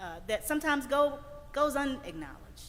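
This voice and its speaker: With audible room echo, a woman in a Mississippi accent talks at a moderate pace in an animated tone. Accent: Southern US (Mississippi). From US South, Greenville, Mississippi. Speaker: keynote speaker, environmental advocate. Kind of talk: keynote address. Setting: church sanctuary, stage with audience. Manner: animated, preacher-like.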